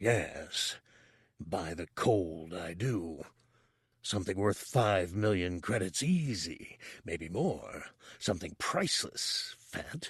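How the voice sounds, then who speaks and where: Using a put-on character voice, a man speaks very slowly at a fairly low pitch. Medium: read story. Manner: haughty, scornful, stubborn.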